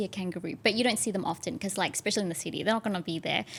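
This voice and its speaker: Speaking in an Australian accent, a woman uses a medium pitch and fairly even intonation. The recording is very clean, with a silent background. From Australia, Melbourne area. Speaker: actress and content creator. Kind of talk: casual chat.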